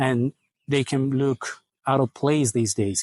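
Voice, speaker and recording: A man with a non-native accent speaks at a fairly slow pace and a fairly high pitch. The sound is dry and close with no echo, over a quiet background. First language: not English. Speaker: menswear video creator. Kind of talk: casual Q&A monologue. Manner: casual, hesitant with fillers.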